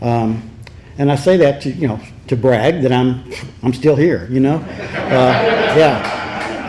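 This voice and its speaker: A man with an American accent amid noticeable background noise and audible room echo. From Texas, Dallas (Pleasant Grove). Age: 70s. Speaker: recovery speaker. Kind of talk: testimony. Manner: halting, many repeats and fillers.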